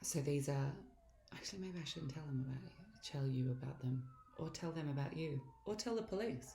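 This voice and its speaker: With noticeable background noise, a woman speaks in a very deep, low voice. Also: lively intonation, moderate pace. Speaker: actress. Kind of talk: casual talk to camera.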